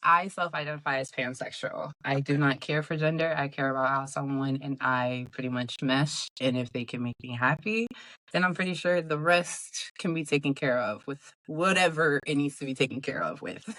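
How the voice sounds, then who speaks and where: A woman speaks with a very deep, low pitch and a bright, sharp tone. Her pitch varies in an ordinary way. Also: moderate pace. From Rhode Island. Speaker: reality TV cast member. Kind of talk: interview. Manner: casual.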